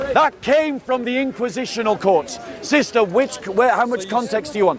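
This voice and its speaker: A man speaks at a moderate pace in an extremely high pitch, with ordinary pitch variation and noticeable background noise. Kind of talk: street debate. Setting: outdoors.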